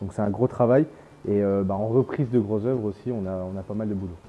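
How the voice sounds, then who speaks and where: At a fairly quick pace, a man with a fairly low pitch talks in fairly even intonation. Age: 20s. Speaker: construction management student. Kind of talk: interview with site tour. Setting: construction site. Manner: hesitant, many fillers.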